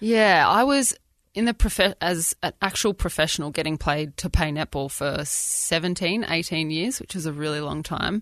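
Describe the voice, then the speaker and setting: With an Australian accent, a woman speaks at a moderate pace in a fairly low pitch with lively intonation. The sound is dry and close with no echo, and the background is quiet. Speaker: former professional netball player. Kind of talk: casual chat. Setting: studio.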